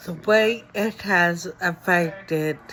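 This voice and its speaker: A woman speaks with ordinary pitch variation. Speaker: vlogger sharing her illness story. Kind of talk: personal testimony to camera. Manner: slow, effortful speech; halting with many fillers.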